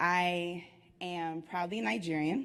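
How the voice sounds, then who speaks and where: Speaking in a normal speaking voice, this woman sits fairly low in pitch, and her pitch varies in an ordinary way. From US, Washington DC. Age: 30s. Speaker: entrepreneur, conference speaker. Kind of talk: motivational talk.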